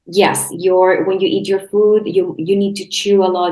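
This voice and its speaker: A woman speaks with a Spanish accent. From Chile. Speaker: health coach and podcast host. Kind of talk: casual interview chat. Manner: halting, many restarts.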